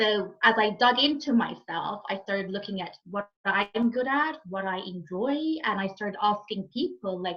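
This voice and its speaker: A woman at a medium pitch, a plain, everyday voice, lively intonation, moderate pace, and hardly any pauses. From Egypt, raised also in France and Saudi Arabia. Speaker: happiness and fulfilment coach. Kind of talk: podcast interview.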